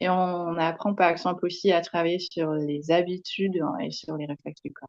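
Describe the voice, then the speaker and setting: Speaking at a moderate pace, a woman uses a fairly low pitch and monotone, flat intonation, with big swings in loudness. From Netherlands. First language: Dutch (speaking French). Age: young. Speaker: kinesiology trainer. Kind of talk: interview. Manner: hesitant, many fillers.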